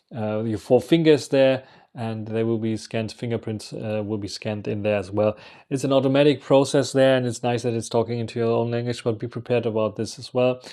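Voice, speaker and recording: With a German accent, a man speaks at a medium pitch and a fairly quick pace in a dark, mellow tone on a very clean recording with a silent background. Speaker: travel vlogger. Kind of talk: casual monologue. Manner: halting.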